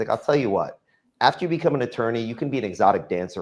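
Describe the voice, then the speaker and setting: A man speaks with a Texan accent. His pace is very fast. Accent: Texan American English. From Texas, Dallas. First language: Farsi. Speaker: real estate developer. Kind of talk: interview. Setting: live-streamed show. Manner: casual storytelling with fillers.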